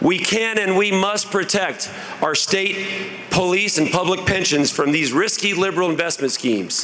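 Over noticeable background noise and audible room echo, a man in a raised, projected voice speaks with a Midwestern US accent at a high pitch, with ordinary pitch variation and very even loudness. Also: moderate pace. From rural Indiana, Jennings County. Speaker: political candidate. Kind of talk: campaign speech. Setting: stage with audience.

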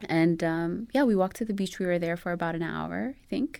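In an Ethiopian accent, a woman with a fairly low pitch and lively intonation speaks at a moderate pace in a very clean recording with a silent background. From Ethiopia, Addis Ababa. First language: Amharic. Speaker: animation studio assistant and new mother. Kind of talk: interview.

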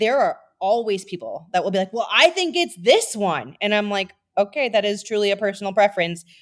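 A woman with a plain, everyday voice speaks in an American accent at a medium pitch. Her pace is fairly quick and her intonation lively. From Minnesota. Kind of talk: casual chat.

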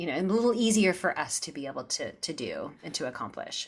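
This woman has an ordinary speaking voice and an American accent. She talks at a moderate pace in a medium pitch. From US Midwest, Missouri Ozarks. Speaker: Broadway actress and singer. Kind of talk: interview.

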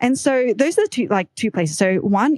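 In an Australian accent, a woman talks at a moderate pace with lively intonation, and the sound is dry and close with no echo. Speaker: startup founder and podcaster. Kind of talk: casual interview chat.

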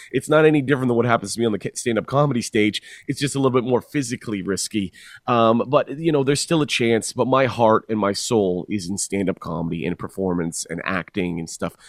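Speaking very fast with lively intonation, a man with a Canadian accent talks at a medium pitch in a very clean, dry, close recording with a silent background and no echo. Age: 30s. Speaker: stand-up comedian and author. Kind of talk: casual interview.

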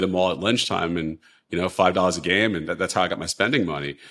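A man with an American accent and a very deep, low pitch, ordinary pitch variation, and a very clean recording with a silent background. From US Northeast, Long Island. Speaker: hedge fund manager. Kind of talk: interview.

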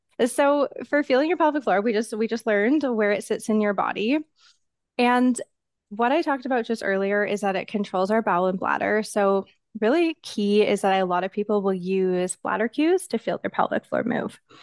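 A woman with a normal speaking voice talks at a moderate pace and fairly high pitch with lively intonation, recorded dry and close with no echo against a quiet background. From Canada. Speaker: physiotherapist. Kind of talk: podcast interview.

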